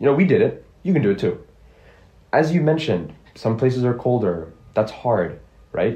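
Speaking with an American accent, a man uses a medium pitch with very wide pitch swings, a dark, mellow tone and vocal fry, keeping his loudness very even while leaving long, frequent pauses. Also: moderate pace. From Geneva, Switzerland (earlier years in Ohio). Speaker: university student, podcast panelist. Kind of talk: casual panel discussion.

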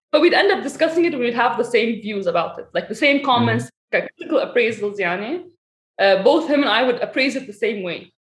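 At a very fast pace, a woman speaks high in pitch with very wide pitch swings. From Saudi Arabia and Lebanon. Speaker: fitness coach and researcher. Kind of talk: casual interview chat.

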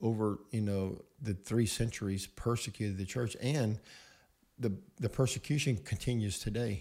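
On a very clean recording with a silent background, a man with a fairly low, somewhat breathy voice and a dark, mellow tone speaks at a moderate pace with ordinary pitch variation. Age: 50s. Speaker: pastor. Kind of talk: casual chat. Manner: hesitant, many fillers.

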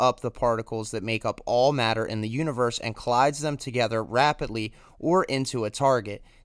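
On a very clean recording with a silent background, a man has a normal speaking voice, medium pitch and ordinary pitch variation. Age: 20s. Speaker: podcast host. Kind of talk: solo monologue podcast.

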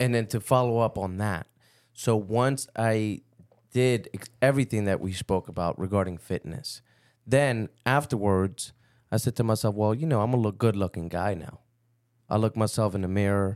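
A man with a plain, everyday voice and a fairly low pitch, at a moderate pace with ordinary pitch variation, on a dry, close, echo-free, very clean recording with a silent background. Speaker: podcast co-host. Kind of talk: casual chat.

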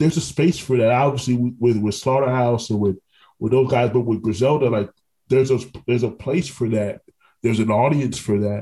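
A man's somewhat breathy voice with a dark, mellow tone, medium pitch and fairly even intonation. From Orlando, Florida. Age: 30s. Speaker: podcast host. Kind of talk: podcast interview.

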